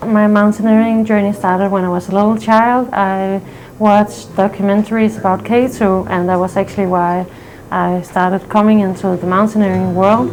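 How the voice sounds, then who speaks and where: Fairly even intonation at a moderate pace, in a Danish accent. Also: woman, medium pitch for a woman. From Denmark. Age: 20s. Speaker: mountaineering client. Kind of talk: interview testimony.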